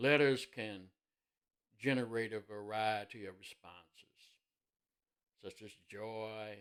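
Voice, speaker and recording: An Indiana accent at a very slow pace, fairly even in intonation, with big swings in loudness and long, frequent pauses. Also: man, fairly low pitch for a man. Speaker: minister. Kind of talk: sermon-style devotional talk.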